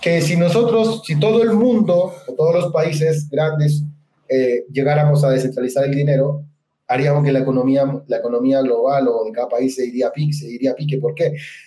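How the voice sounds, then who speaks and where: A man talks at a fairly quick pace in a dark, mellow tone. His voice is fairly high-pitched and somewhat breathy. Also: ordinary pitch variation. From central Chile. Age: 30s. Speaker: crypto investor and network marketer. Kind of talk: interview.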